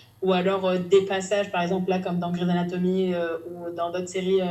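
The delivery is monotone, with flat intonation. Noticeable background noise and audible room echo are present. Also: woman. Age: 20s. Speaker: novelist. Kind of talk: casual chat. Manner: halting.

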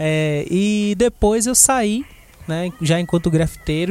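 A man speaks at a high pitch. There is noticeable background noise. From Brazil, Salvador, Bahia. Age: 20s. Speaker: graffiti artist. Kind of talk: interview. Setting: studio.

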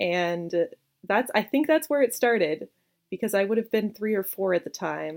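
A woman with a Canadian accent and a plain, everyday voice, medium-pitched, with lively intonation at a moderate pace, in a dry, close sound with no echo. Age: 20s. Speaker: game designer. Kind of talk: interview.

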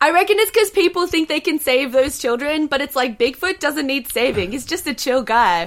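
A woman with an Australian accent talks at a fairly quick pace with hardly any pauses. Her high-pitched voice swings very widely in pitch. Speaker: comedian. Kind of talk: casual chat. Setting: video call.

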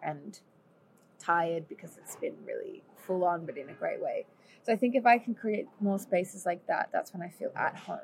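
Talking at a moderate pace, a woman speaks in an Australian accent. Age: 20s. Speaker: singer and musician. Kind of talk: casual chat. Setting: at home over lunch.

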